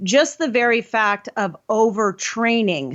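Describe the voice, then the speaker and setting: A woman with an ordinary speaking voice talks at a fairly high pitch with ordinary pitch variation. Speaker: hormone health practitioner. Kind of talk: casual chat.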